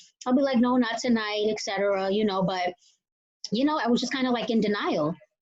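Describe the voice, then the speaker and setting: A woman speaks in a Boston accent. Her pitch is fairly high and her pace fairly quick. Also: ordinary pitch variation. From Boston area, Massachusetts. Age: 30s. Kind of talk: interview testimony. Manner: casual, filler-heavy.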